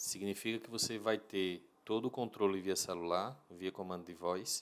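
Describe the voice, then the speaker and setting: A man speaks with a northeastern Brazilian accent. His voice sits fairly low. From Brazil, Natal (Rio Grande do Norte). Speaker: home automation business owner. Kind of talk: interview.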